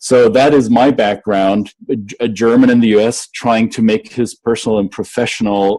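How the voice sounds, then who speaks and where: A man speaks at a medium pitch with a dark, mellow tone. His pace is moderate and his pitch variation ordinary. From Germany, Bavaria. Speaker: cross-cultural business consultant. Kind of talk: casual interview chat.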